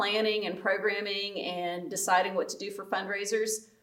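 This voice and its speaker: A woman with a North Carolina accent speaks at a medium pitch and moderate pace. Her intonation is monotone and flat. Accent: North Carolina Southern American. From US South, North Carolina (Guilford County). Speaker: pastor. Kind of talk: casual chat.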